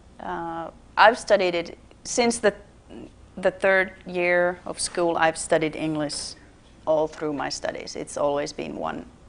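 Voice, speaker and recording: The speech moves at a fairly slow pace with ordinary pitch variation and big swings in loudness. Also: woman, fairly low pitch for a woman. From Finland. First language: Finnish. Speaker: theater marketing director. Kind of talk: TV interview. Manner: halting.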